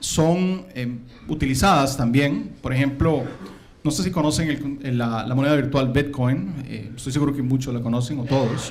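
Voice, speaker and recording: Somewhat breathy male voice, fairly high for a man, at a moderate pace with audible room echo. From Costa Rica. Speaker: conference speaker, systems engineer. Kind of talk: conference talk. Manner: hesitant, many fillers.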